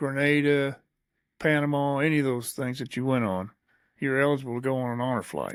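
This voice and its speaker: With an Ozarks accent, a man talks at a fairly quick pace in a medium pitch and fairly even intonation, on a very clean recording with a silent background. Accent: Missouri Ozarks American. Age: 70s. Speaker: podcast host and veteran. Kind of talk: casual chat.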